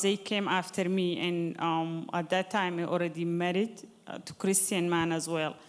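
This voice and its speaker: This woman's pitch sits fairly low. She speaks at a moderate pace. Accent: Arabic. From Sudan. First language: Arabic. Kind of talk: testimony.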